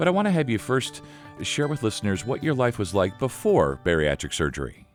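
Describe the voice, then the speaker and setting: Music plays behind a man speaking at a medium pitch. His pace is fairly quick, and his pitch swings very widely. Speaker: podcast host. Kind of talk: podcast interview intro.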